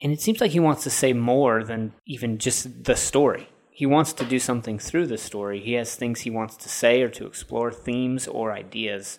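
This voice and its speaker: In a normal speaking voice, a man talks at a medium pitch and a moderate pace with ordinary pitch variation. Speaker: film podcast host. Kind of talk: casual film discussion podcast.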